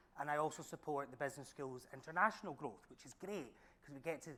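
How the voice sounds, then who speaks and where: A man's fairly high, bright, sharp voice with a strong Glaswegian accent at a very fast pace. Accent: thick Glaswegian Scottish. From Scotland, Glasgow. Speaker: senior lecturer. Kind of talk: panel talk.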